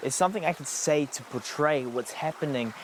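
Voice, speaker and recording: A man talks with lively intonation. Noticeable background noise runs behind him. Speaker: spoken word poet. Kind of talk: spoken word poetry performance.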